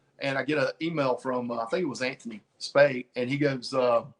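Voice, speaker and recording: A man talks at a fairly quick pace in a fairly high pitch. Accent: Southern US. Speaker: comic book cover artist. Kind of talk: casual interview. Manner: animated.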